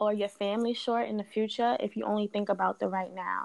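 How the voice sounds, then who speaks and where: A woman speaks with an American accent and a fairly high pitch. The recording is very clean, with a silent background. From New York (Queens) and Delaware. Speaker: research analyst. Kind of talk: casual chat.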